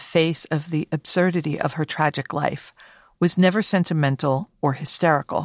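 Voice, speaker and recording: A woman with an ordinary speaking voice talks at a fairly quick pace and a fairly low pitch. The sound is dry and close with no echo, on a very clean recording with a silent background. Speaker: podcast host and art curator. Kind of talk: scripted narration with interview commentary. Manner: formal, measured.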